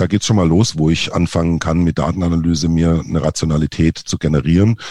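The man's voice is very deep and low, with a dark, mellow tone. His intonation is fairly even, and the sound is dry and close with no echo. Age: 40s. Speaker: marketing agency founder. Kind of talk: interview.

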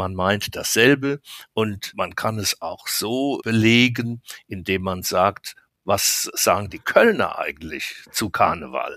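This man's speech is very slow. The audio is very clean, and the background is silent. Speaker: carnival association official. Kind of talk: interview.

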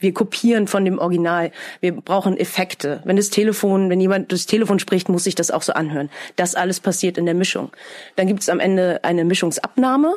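A woman with a normal speaking voice talks at a fairly quick pace in a medium pitch. Her intonation is fairly even and her loudness very even. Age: 30s. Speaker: dubbing studio manager. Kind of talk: interview.

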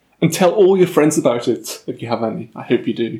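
A man with lively intonation speaks in a somewhat breathy voice. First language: German. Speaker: podcast host, student. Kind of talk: casual chat; scripted outro.

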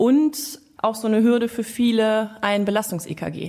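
A woman talks at a fairly slow pace with a dark, mellow tone. Her pitch is fairly high. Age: 40s. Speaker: police officer, podcast co-host. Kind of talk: casual chat.

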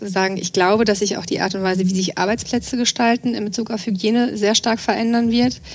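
Noticeable background noise sits behind a woman's fairly high voice. Her intonation stays fairly even. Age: 40s. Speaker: trend scout at a chamber of commerce. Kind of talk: podcast interview. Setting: studio. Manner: frequent hesitation fillers.

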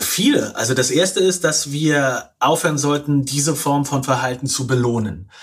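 Somewhat breathy and fairly high in pitch, a man talks with hardly any pauses. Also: ordinary pitch variation, moderate pace. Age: 40s. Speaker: author and journalist. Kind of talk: interview. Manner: halting.

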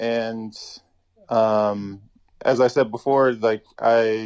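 Using fairly even intonation, a man speaks at a medium pitch. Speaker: professional basketball player. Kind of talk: interview. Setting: phone call.

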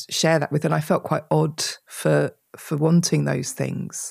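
A woman with an English accent speaks at a fairly slow pace and a very deep, low pitch. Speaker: author. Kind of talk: interview conversation.

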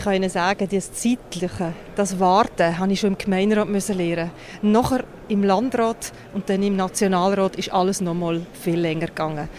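Noticeable noise sits behind a woman's voice. She speaks at a medium pitch with fairly even intonation. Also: moderate pace. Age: 40s. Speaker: politician. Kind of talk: interview. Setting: on location at an industrial site.

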